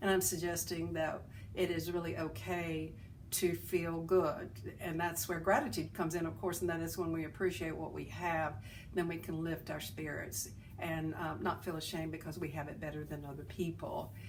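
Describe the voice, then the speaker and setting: A woman speaks with a Southern US accent at a moderate pace, her pitch fairly low with ordinary variation. Vocal fry creeps in, and room echo is audible. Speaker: self-help video host. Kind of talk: inspirational talk. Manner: halting.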